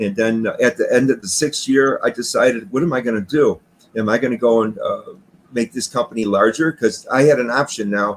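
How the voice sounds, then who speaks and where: A man talks fairly quickly at a medium pitch, his pitch varying in an ordinary way. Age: 60s. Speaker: retired garage door business owner. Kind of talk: interview. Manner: halting.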